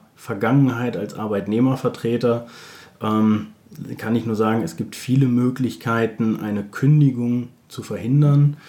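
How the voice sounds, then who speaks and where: A man with a normal speaking voice keeps a medium pitch and fairly even intonation at a moderate pace. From Germany, Bielefeld. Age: 40s. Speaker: recruitment consultant. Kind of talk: interview.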